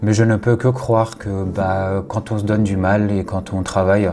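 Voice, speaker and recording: A man's fairly low voice, monotone and flat, at a moderate pace. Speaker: content creator. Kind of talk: personal vlog monologue. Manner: hesitant, many fillers.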